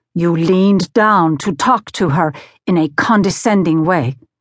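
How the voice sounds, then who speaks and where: An ordinary speaking voice from a woman at medium pitch, fairly slow, with ordinary pitch variation, dry, close sound with no echo and a quiet background. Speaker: audiobook narrator. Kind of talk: audiobook reading of a first-person essay, with character voices for quoted dialogue. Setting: studio. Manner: measured, steady storytelling pace; expressive, shifting tone for dialogue, sternness and fear.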